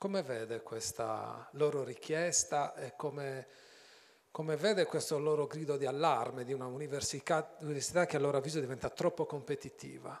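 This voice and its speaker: A man's fairly high voice with vocal fry, ordinary pitch variation and a moderate pace. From Sardinia. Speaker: journalist moderator. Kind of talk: onstage interview. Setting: stage with audience. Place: stage. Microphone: handheld.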